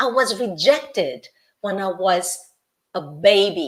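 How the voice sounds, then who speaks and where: Very wide pitch swings mark this fairly slow delivery in a Brazilian accent. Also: woman. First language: Portuguese. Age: 60s. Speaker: life coach. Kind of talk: interview. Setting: live video interview.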